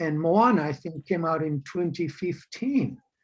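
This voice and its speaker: A man with a high-pitched voice speaks at a fairly slow pace. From Rotuma, Fiji. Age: 60s. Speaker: professor and filmmaker. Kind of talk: interview. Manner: hesitant, many fillers.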